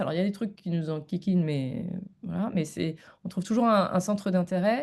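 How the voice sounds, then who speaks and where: A woman's dark, mellow tone at a fairly quick pace. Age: 40s. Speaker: comedian and philosopher. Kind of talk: podcast interview.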